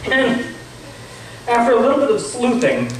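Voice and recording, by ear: Amid strong room echo, a man talks at a moderate pace in an extremely high pitch, with big pitch swings.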